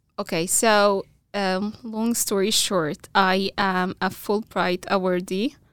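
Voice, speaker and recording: On a very clean recording with a silent background, a woman with an Arabic accent speaks at a very slow pace in a medium pitch with fairly even intonation. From Egypt, small town. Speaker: computer science graduate student. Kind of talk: casual interview chat. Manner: halting, many fillers.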